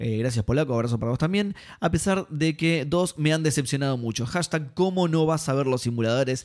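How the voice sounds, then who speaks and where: A man speaks at a fairly quick pace with hardly any pauses and very even loudness. His pitch is fairly high with ordinary variation, in a very clean recording with a silent background. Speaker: gaming podcast host. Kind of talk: casual chat.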